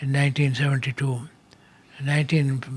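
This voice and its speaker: A man's fairly high, somewhat breathy voice at a fairly quick pace, with monotone, flat intonation. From Kerala, India. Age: 80s+. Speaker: agriculture scientist. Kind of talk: interview answer.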